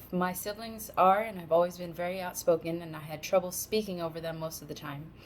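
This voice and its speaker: An unremarkable speaking voice from a woman, fairly low in pitch, with an American accent. She talks at a fairly quick pace with fairly even intonation. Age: 30s. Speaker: college student. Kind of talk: class speech.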